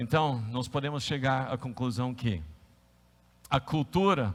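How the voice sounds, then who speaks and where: A man talks in a medium pitch. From United States. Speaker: pastor. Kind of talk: sermon. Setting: church service, live-streamed. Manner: animated.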